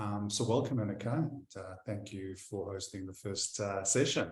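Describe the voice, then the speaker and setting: A man talks with a somewhat breathy voice at a fairly low pitch. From Israel and South Africa. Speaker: tech company founder, interviewer. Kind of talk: interview conversation.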